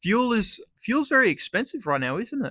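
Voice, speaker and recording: A man with an Australian accent talks at a moderate pace, his tone bright and sharp, his intonation lively. The recording is very clean with a silent background, and the sound is dry and close with no echo. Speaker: comedic vlogger. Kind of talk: comedic monologue. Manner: animated.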